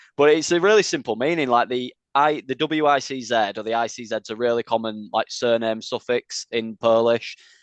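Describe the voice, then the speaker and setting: Against a quiet background, a man with a Yorkshire accent talks at a fairly quick pace and medium pitch, with ordinary pitch variation and a dry, close sound with no echo. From Leeds, northern England. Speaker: metal band vocalist. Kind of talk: interview. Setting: video call.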